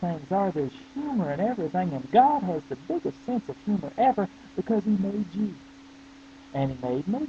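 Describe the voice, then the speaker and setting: High pitch from a man at a moderate pace, a dry, close sound with no echo, and noticeable background noise. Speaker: pastor. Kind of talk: casual talk to webcam. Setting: webcam video.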